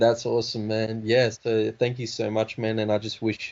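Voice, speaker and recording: A man with an Australian accent, fairly low in pitch, at a moderate pace, with monotone, flat intonation. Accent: Australian, noticeable. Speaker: rapper. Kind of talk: casual interview.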